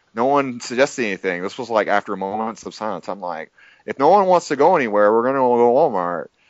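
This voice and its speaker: A man at a medium pitch, very fast pace, and lively intonation. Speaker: fighting game player. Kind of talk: casual chat.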